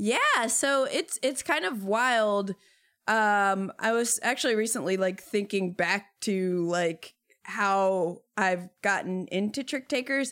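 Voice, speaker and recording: Delivered at a very slow pace, the speech holds a very even loudness and shows ordinary pitch variation. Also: woman, medium pitch for a woman. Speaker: board game media creator. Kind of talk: casual chat. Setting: video call.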